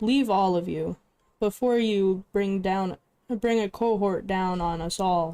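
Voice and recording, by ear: Reading aloud in a natural voice, the speaker uses ordinary pitch variation over a quiet background.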